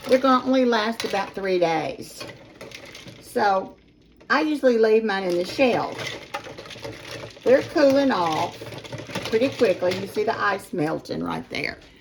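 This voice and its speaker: A woman's fairly high voice with an American accent, lively intonation and a fairly slow pace broken by long, frequent pauses, over noticeable background noise. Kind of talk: casual cooking tutorial to camera.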